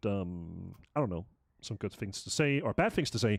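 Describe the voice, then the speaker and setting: A man speaks with a Danish accent at a medium pitch. The recording is very clean with a silent background and a dry, close sound with no echo. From Denmark. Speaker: esports commentator. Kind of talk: live commentary. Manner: halting.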